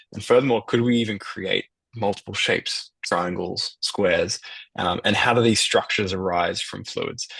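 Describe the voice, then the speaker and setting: Speaking with an Australian accent, the man keeps a moderate pace. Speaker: data portal programmer. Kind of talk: presentation on a video call. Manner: hesitant, many fillers.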